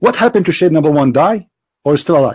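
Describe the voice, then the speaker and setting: A man's voice with lively intonation. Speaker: religious debate host. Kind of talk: heated debate. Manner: animated.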